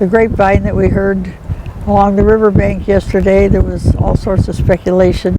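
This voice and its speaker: Noticeable background noise behind a woman's voice at a moderate pace. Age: 80s+. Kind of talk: interview answer.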